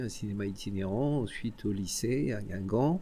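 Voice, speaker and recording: Ordinary pitch variation and a fairly slow pace in a man's dark, mellow voice. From Brittany (Côtes d'Armor). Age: 60s. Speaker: cinema director. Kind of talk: casual interview. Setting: cinema venue. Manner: hesitant, with fillers.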